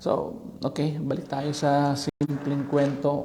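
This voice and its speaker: A man speaks with audible room echo around him. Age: middle-aged. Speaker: vlogger. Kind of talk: casual commentary. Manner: halting.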